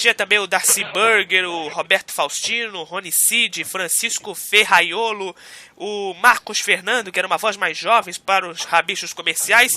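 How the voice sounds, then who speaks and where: With noticeable background noise but a dry, close sound that has no echo, a man talks in a high pitch with fairly even intonation. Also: moderate pace. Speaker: radio host. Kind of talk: radio interview host.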